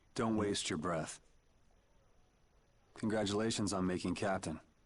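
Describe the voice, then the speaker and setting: A man's put-on character voice, raspy and fairly low in pitch, with fairly even intonation at a moderate pace. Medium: video game. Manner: casual, dry.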